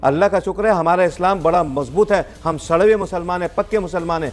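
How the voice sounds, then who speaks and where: The man's voice is high, with pitch that moves in an ordinary way. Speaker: debate panelist. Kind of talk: heated debate.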